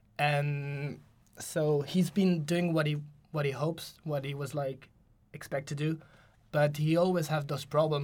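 Speaking with a French accent, a man uses a fairly high pitch, a moderate pace, and monotone, flat intonation in a somewhat breathy voice. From France, Paris. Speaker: university student, football fan. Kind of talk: casual chat.

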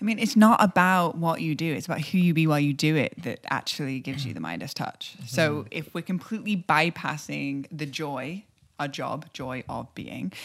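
With vocal fry and big swings in loudness, the voice runs on with hardly any pauses in a very clean recording with a silent background. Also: woman, very deep, low pitch for a woman, lively intonation, moderate pace. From United Kingdom. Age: 30s. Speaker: shaman and healer. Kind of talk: casual chat.

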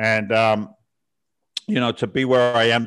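A man with an American accent talks at a fairly slow pace. His medium pitch stays in fairly even intonation. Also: quiet background. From southern England. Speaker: real estate investor and former firefighter. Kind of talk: interview.

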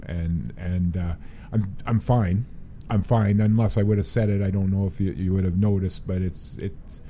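A man with a Western Canadian accent has a very deep, low voice that is dark, mellow and somewhat breathy. He keeps a moderate pace and fairly even intonation. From Prince George, British Columbia, Canada. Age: 50s. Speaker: person living with Alzheimer's. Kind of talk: casual interview. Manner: halting.

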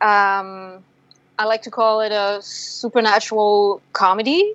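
This woman has a fairly high pitch. She speaks with a French accent. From France. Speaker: filmmaker. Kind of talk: interview.

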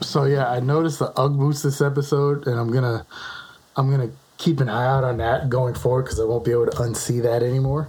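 Against noticeable background noise, a man speaks very fast at a medium pitch, flat and monotone, with very even loudness. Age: 40s. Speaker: podcast co-host. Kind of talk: casual chat.

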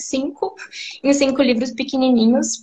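A woman speaks at a moderate pace in a high pitch. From Brazil, Mato Grosso do Sul (Campo Grande). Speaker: psychologist. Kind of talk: interview on a live stream.

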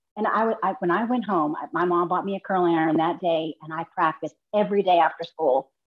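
A woman with a fairly low pitch speaks at a very fast pace with ordinary pitch variation. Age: 50s. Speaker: person with rheumatoid arthritis and a limb difference. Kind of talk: casual chat.

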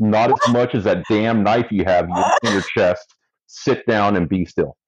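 Using a gruff, put-on character voice, a man speaks at a fairly slow pace and medium pitch with very even loudness. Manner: deadpan, dry, gruff.

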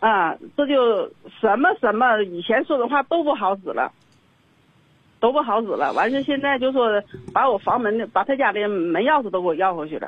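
This woman's voice sits fairly high in pitch, moving at a moderate pace. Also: lively intonation. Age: 60s. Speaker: caller. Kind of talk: phone-in advice call.

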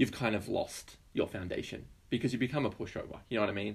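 Here is a man with an Australian accent. His intonation stays fairly even. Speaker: podcast co-host. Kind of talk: casual political chat.

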